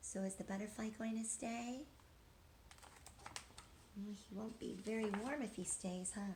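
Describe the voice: A woman talks at a fairly slow pace. Her pitch sits in the medium range. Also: ordinary pitch variation, slightly mellow tone.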